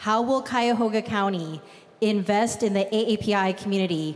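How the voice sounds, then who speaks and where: A woman has an unremarkable speaking voice at a medium pitch with ordinary pitch variation. She speaks at a fairly slow pace. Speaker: civic club board president, moderator. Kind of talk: formal moderation. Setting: stage with audience.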